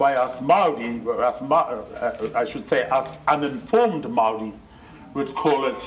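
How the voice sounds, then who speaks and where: Lively intonation from a man with a fairly high voice, at a fairly slow pace, over noticeable background noise. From New Zealand. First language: Māori. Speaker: Māori elder and educator. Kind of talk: public heritage talk. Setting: library presentation. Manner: hesitant, conversational.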